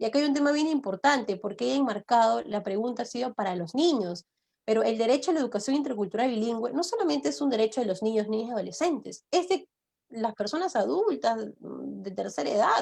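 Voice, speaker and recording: Very fast and fairly high-pitched, a woman's voice shows vocal fry and very wide pitch swings. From Peru. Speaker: law professor. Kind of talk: lecture.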